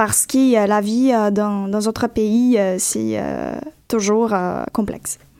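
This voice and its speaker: A woman speaks at a very slow pace, with long, frequent pauses. Her voice is fairly high, with a dark, mellow tone and monotone, flat intonation. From Brazil, Goiás (Goiânia). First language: Portuguese (speaking French). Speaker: graduate student. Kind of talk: radio interview.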